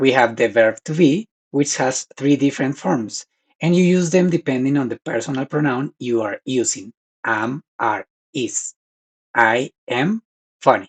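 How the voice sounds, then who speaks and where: Speaking fairly slowly with a Spanish accent, a man uses lively intonation at a medium pitch, heard as a dry, close sound with no echo. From Colombia. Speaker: language teacher. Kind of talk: tutorial.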